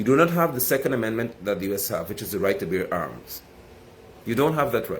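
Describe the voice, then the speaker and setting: Fairly quick and animated, a man speaks in a Guyanese accent at a medium pitch. His intonation is lively. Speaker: political commentator. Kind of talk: political commentary monologue. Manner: fast.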